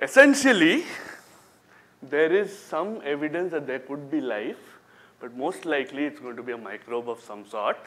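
A man's fairly high voice at a moderate pace, with lively intonation and big swings in loudness. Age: young. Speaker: business school professor. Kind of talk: lecture. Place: hall. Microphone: lapel.

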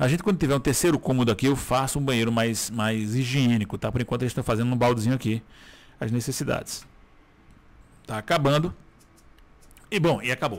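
The man's medium-pitched voice moves fairly quickly, with ordinary variation in pitch. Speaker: gaming YouTuber. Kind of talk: gameplay commentary. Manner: casual, filler-heavy.

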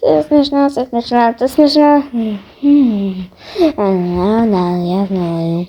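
A man does a put-on character voice, high-pitched for a man. He speaks at a very slow pace with long, frequent pauses. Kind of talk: comic amateur fan dub. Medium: fan dub. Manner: loud, exclamatory, comic overacting.

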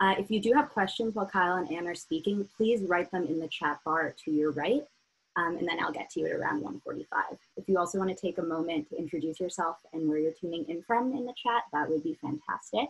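A woman with an unremarkable speaking voice talks at a fairly quick pace and a fairly low pitch. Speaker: event moderator. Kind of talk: event introduction and housekeeping notes. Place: home room. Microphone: video call.

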